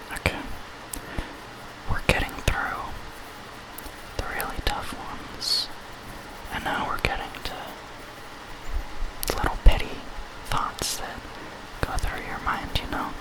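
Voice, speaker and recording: A man whispers at a fairly slow pace, with long, frequent pauses. His loudness swings widely, and background noise is noticeable. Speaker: ASMR artist. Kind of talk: ASMR role play, emotional support. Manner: whispered, soft-spoken.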